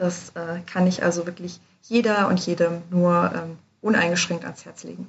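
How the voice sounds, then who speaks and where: A woman speaks at a fairly slow pace in a fairly low, somewhat breathy voice. Her intonation is monotone and flat, and her loudness swings widely. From Germany. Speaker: study abroad advisor. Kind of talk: casual interview. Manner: hesitant with many fillers.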